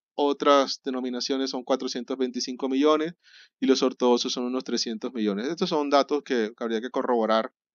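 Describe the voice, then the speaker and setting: A man is talking. He goes at a fairly quick pace. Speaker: catechism teacher. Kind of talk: lecture. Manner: fast; halting.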